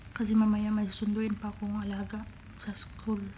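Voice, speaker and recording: Amid noticeable background noise and audible room echo, a soft-spoken woman talks at a moderate pace. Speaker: domestic helper vlogger. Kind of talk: casual vlog. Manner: soft-spoken, quiet.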